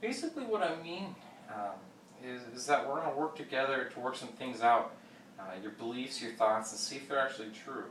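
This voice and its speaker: Amid noticeable background noise and audible room echo, a man with a medium-pitched voice talks at a fairly quick pace, with lively intonation and big swings in loudness. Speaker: therapist in role-play. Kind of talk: role-play therapy session. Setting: office. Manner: fast.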